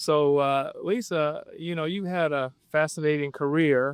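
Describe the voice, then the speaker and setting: Recorded with a dry, close sound and no echo, a man with a Midwestern accent speaks in a fairly high pitch. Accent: American Midwest. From Flint, Michigan. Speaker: podcast host. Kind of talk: interview.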